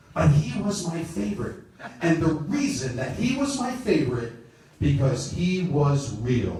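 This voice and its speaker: Noticeable background noise runs under this man's voice. He keeps a moderate pace with very wide pitch swings. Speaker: professional wrestling ring announcer performing a one-man stage show. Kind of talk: live stage show talk to an audience, storytelling. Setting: live theater with microphone and audience. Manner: energetic, enthusiastic, talkative.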